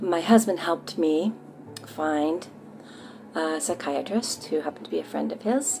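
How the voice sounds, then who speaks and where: The speaker uses lively intonation at a moderate pace, with noticeable background noise behind the voice. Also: woman, fairly low pitch for a woman. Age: 60s. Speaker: patient giving treatment testimonial. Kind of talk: testimony. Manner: hesitant, many fillers.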